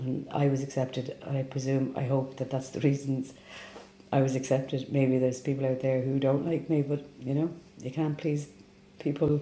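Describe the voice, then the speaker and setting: A woman with a Dublin accent speaks in a very deep, low pitch. Her tone is dark and mellow, and her intonation is monotone and flat. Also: moderate pace. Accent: Dublin Irish. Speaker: immigrant interviewee. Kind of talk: interview testimony.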